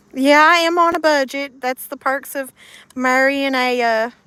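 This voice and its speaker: A woman with a Southern US accent speaks at a high pitch in a raised, projected voice. Her pace is fairly slow, and the sound is dry and close with no echo. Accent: US South. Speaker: live streamer. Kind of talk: casual chat. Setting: live stream.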